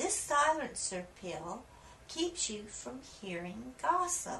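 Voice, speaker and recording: In a put-on character voice pitched high, a woman speaks at a very slow pace with very wide pitch swings over clear background noise. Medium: read story. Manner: calm, reassuring.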